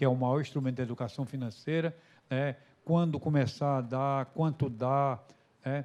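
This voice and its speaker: Medium-pitched, dark, mellow male voice at a moderate pace, with ordinary pitch variation and a quiet background. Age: 60s. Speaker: financial education speaker. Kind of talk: public hearing presentation. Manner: halting, with repetitions.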